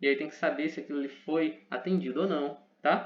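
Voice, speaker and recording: With a fairly quick delivery, a man's pitch varies in an ordinary way. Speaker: teacher. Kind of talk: lecture. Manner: fast.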